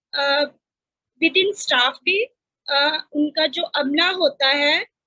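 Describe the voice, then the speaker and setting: A woman speaking over music in the background. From Pakistan, Faisalabad. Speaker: panelist, sanitary workers advocate. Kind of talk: panel discussion. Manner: hesitant, many fillers.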